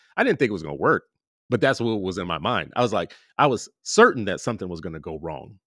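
On a very clean recording with a silent background, a man talks at a very fast pace, with very wide pitch swings and big swings in loudness. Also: fairly low pitch for a man. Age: 50s. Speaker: podcast host and parent advocate. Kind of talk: interview conversation.

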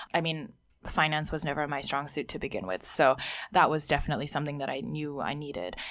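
On a very clean recording with a silent background, a woman with a very deep, low pitch and vocal fry talks very fast with lively intonation. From Hong Kong. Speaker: startup founder. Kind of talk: interview.

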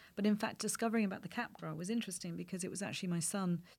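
Very fast, somewhat breathy speech in an English accent, with ordinary pitch variation. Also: woman. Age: 50s. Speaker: playwright and screenwriter. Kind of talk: interview.

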